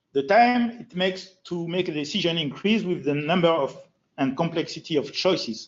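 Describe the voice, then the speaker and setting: Speaking at a moderate pace with a French accent, the voice has lively intonation. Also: man. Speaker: FileMaker designer and trainer. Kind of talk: user group presentation.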